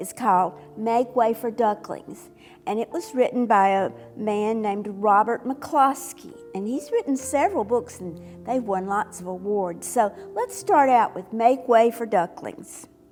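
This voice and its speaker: Over music in the background, a woman speaks in a gentle tone. Her pitch is fairly high, with ordinary variation. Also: fairly slow pace. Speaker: retired teacher. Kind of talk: casual talk to camera. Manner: expressive, gentle.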